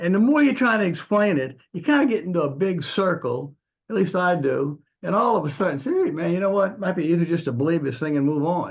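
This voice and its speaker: Over a quiet background, a man speaks at a high pitch with lively intonation. His pace is fairly quick. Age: 70s. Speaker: retired engineer, discussion group participant. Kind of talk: group discussion. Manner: halting, repetitive false starts.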